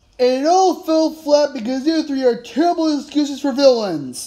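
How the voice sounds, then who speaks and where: The voice sits at a high pitch. Its pace is moderate. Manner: angry, scolding.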